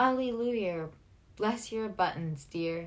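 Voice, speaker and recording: This put-on character voice is gravelly and croaky, moving at a fairly slow pace. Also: female-sounding voice. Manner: solemn, comical.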